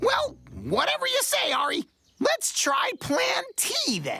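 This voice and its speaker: Faint music plays in the background. Over it comes a cartoonish character voice at a fairly slow pace. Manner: energetic, enthusiastic.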